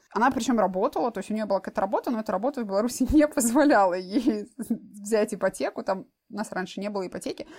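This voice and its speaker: Very fast speech comes from a woman. Her pitch is medium, varying in an ordinary way. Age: young. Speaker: intended parent using IVF. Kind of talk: interview.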